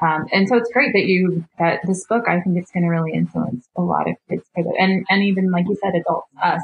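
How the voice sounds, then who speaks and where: With an American accent and a plain, everyday voice, a woman speaks at a moderate pace in a fairly low pitch with fairly even intonation. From northern Nevada. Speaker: painter. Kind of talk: casual chat.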